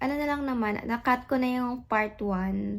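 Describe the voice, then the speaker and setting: A woman speaks in an animated tone. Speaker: vlogger. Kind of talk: casual vlog talk to camera. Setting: home, alone. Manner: loud; chatty, animated.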